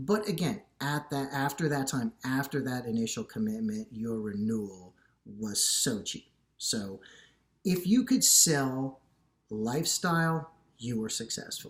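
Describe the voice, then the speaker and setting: A fairly slow man's voice at medium pitch with very wide pitch swings, on a very clean recording with a silent background. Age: 50s. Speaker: fitness YouTuber. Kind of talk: casual vlog monologue. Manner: halting, many fillers and repeats.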